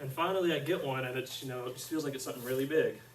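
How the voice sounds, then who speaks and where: Very fast and medium-pitched, a man with an American accent talks amid noticeable background noise and audible room echo. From central Arkansas (Conway area). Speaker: student teacher. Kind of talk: classroom lesson. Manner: soft-spoken.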